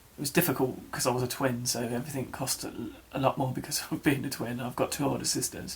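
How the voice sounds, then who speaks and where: A man with an English accent talks at a fairly quick pace in a medium pitch. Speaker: vlogger. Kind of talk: personal vlog. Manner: halting.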